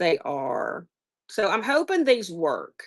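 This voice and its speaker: A Southern US accent over a quiet background. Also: woman. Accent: Southern US, noticeable. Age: 50s. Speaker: online seller. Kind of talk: casual live-stream chat. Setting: live stream.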